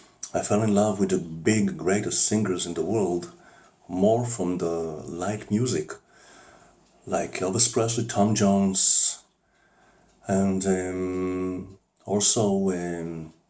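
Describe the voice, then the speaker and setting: A man with a non-native accent speaks at a very slow pace, leaving long, frequent pauses. His fairly low voice has a dark, mellow tone and fairly even intonation. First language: not English. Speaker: amateur singer. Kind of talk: personal monologue. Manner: halting.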